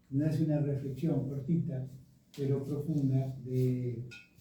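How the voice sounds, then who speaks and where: Speaking fairly slowly at medium pitch, a man sounds somewhat breathy with a dark, mellow tone. Audible room echo surrounds his voice. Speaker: speaker presenting a tribute to their writer father. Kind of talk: commemorative presentation with slides. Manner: hesitant, many fillers.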